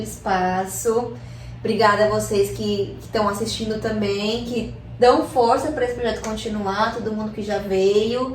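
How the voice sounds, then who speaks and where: The speech moves at a moderate pace with fairly even intonation. Audible room echo and noticeable background noise are present. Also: woman. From Chile, raised in Brazil from age 6. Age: 20s. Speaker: artist and hip hop MC. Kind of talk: casual chat.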